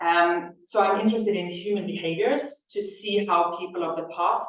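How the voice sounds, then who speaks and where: A woman with a Norwegian accent, her voice carrying audible room echo. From Norway. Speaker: Egyptologist researcher. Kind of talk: lecture. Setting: lecture hall with audience and Zoom.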